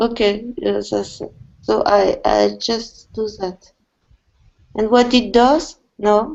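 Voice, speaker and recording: Very slow pace from a woman, her speech broken by long, frequent pauses. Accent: non-native. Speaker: volunteer programmer. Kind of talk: pair programming session. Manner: halting.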